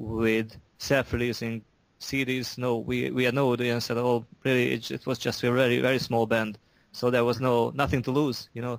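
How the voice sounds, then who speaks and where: Speaking in a Hungarian accent, a man uses a medium pitch and monotone, flat intonation at a moderate pace. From Hungary. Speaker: metal musician. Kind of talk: interview. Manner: halting, many repetitions.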